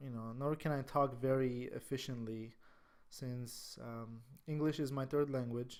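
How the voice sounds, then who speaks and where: A man speaks in an Armenian accent. His pitch varies in an ordinary way. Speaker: stock trading educator. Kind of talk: tutorial. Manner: halting; casual.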